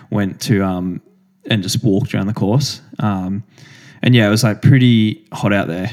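This man has an Australian accent and a fairly low pitch. He speaks at a fairly slow pace with ordinary pitch variation. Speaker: professional distance runner, podcast co-host. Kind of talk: casual chat.

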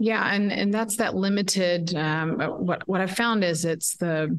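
This woman has a plain, everyday voice with fairly low pitch. She speaks at a fairly slow pace with ordinary pitch variation. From Texas, Dallas. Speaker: education activist. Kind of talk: interview. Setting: remote call from a quiet room.

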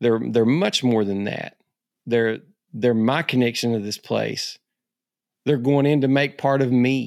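A man with an Ozark accent speaks at medium pitch and a fairly slow pace, with fairly even intonation. His long, frequent pauses stand out in a very clean recording with a silent background. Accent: Southern US, Ozark. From Arkansas Ozarks, US South. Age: 50s. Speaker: hunter and essayist. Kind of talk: casual chat.

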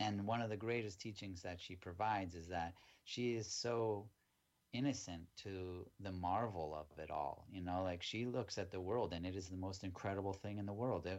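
A man with an American accent speaks at a moderate pace in a fairly low pitch, his intonation fairly even, in a plain, everyday voice. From United States. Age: 40s. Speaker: ayahuasca retreat organization founder. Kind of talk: casual interview.

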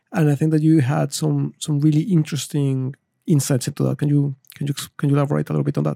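The speaker has a non-native accent and talks at a very fast pace. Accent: foreign-accented English. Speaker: podcast host. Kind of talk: interview. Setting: studio.

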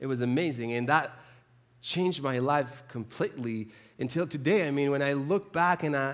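Recorded very cleanly against a silent background, a man with a Spanish accent talks at a moderate pace, his fairly high pitch showing ordinary variation. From Chile. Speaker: preacher. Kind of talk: sermon. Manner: halting, with frequent repetitions.

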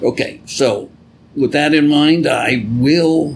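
A man's plain, everyday voice, fairly high in pitch. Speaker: podcast host and Bible teacher. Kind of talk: religious teaching podcast, casual with spoof intro.

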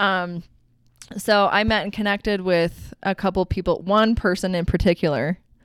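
In a very clean recording with a silent background, a woman talks at a moderate pace. She has an unremarkable speaking voice, medium in pitch, with fairly even intonation. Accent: American. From Utah. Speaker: hairdresser. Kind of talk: casual chat. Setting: studio.

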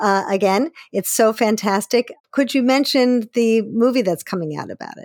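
In an unremarkable speaking voice, a woman talks at a fairly high pitch and a moderate pace, with ordinary pitch variation, big swings in loudness, and a dry, close sound with no echo. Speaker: podcast host and therapist. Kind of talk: interview.

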